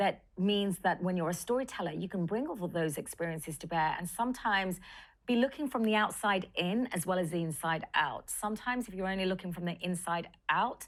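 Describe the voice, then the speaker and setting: On a very clean recording with a silent background, a woman with a London accent speaks fairly quickly at a medium pitch with ordinary pitch variation. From London, England. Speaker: film director and writer. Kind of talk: interview.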